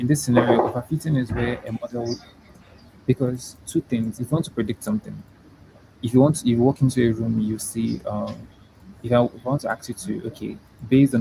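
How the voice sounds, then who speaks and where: At a fairly quick pace, a man speaks at medium pitch with a dark, mellow, somewhat breathy tone. His intonation stays fairly even, in a dry, close sound with no echo. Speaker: machine learning researcher and pharmacy student. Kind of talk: interview, explaining technical concepts. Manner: halting, many fillers.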